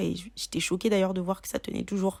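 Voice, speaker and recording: A woman's very fast, monotone, flat delivery at medium pitch, on a very clean recording with a silent background. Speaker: beauty YouTuber. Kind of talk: casual tutorial talk to camera.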